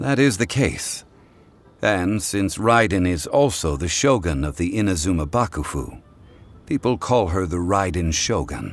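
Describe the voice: Using a put-on character voice, a man talks at a fairly slow pace in a low pitch with big pitch swings.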